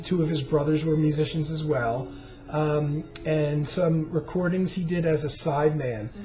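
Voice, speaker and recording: Fairly slow speech with music in the background. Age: 50s. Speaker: music collector and vlogger. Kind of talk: casual monologue about records. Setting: home recording on webcam. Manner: hesitant, many fillers; slowed down.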